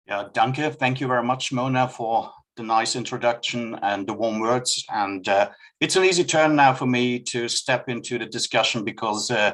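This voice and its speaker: A man with a German accent talks at a medium pitch with ordinary pitch variation. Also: moderate pace. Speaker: customs expert. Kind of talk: presentation. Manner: reading from notes.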